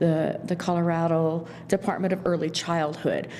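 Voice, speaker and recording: The speaker goes at a moderate pace, and the room echo is audible. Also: woman. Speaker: county social services staff. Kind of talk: public meeting presentation. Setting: county board meeting room. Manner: loud; halting.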